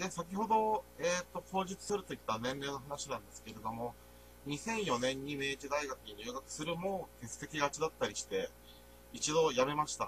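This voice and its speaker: Noticeable background noise is present throughout. Through it, a man talks at a moderate pace. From Niigata, Nagaoka. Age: 20s. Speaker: university student. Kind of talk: presentation. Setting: voice-only recording. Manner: halting.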